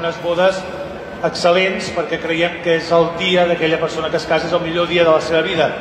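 A man's high-pitched voice at a moderate pace, with noticeable background noise. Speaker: cooking school teacher. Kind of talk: presentation to audience. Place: hall.

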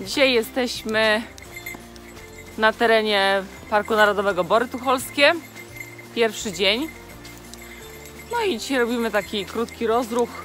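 At a fairly slow pace, a woman speaks with ordinary pitch variation and long, frequent pauses. Faint music plays in the background, and the sound is dry with no echo. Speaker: travel vlogger. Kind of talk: casual vlog chat. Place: forest. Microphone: phone near.

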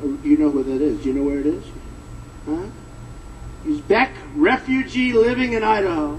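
A man speaks at a moderate pace, his pitch swinging very widely. Light background noise sits behind him. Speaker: speaker. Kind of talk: rally speech. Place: hall. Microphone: podium.

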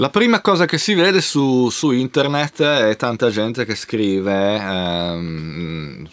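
A man's voice with lively intonation. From Italy, Genoa; Italy. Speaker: YouTube video host on music culture. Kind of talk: video monologue. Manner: halting. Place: home room.

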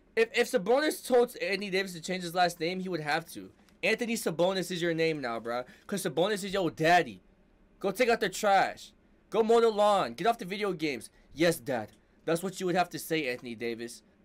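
A high-pitched man's animated voice at a fairly quick pace, with very wide pitch swings, in a very clean recording with a silent background. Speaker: YouTube sports reaction creator. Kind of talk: excited fan commentary, reacting live to game highlights. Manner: animated, loud, hyped, shouting and cursing at the screen; casual slangy bro talk, emotional and rambling.

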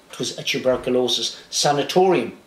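The man speaks at a fairly slow pace, and his voice has an audible room echo. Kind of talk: storytelling talk to camera. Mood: warm, reminiscing. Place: home room.

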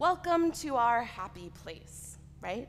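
Over light background noise, a woman talks with lively intonation. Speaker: preacher. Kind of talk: sermon. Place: church.

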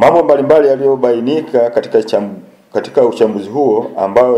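A man is speaking. His pace is moderate. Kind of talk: press statement read aloud. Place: office. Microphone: handheld.

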